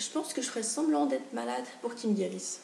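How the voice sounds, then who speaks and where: A woman's fairly high voice at a moderate pace, with audible room echo and noticeable background noise. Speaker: booktuber. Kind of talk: casual video chat. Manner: animated.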